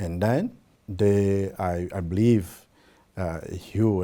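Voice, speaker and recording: A man with a Portuguese accent speaks very slowly at a fairly low pitch, his tone dark and mellow. His pitch varies in an ordinary way on a very clean recording with a silent background. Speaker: government program representative. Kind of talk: interview. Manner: halting, many fillers.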